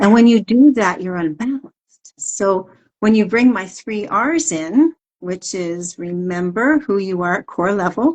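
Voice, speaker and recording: A woman's plain, everyday voice at medium pitch, with lively intonation and big swings in loudness. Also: fairly slow pace. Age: 60s. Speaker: wellness coach. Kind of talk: interview. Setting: social media live stream.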